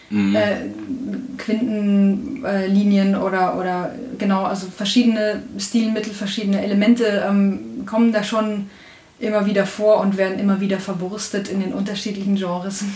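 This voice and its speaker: A woman talks at a moderate pace in a medium pitch with monotone, flat intonation, amid audible room echo and noticeable background noise. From Bavaria, Upper Bavaria (Traunstein district). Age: 20s. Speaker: audio description writer and musician. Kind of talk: casual interview.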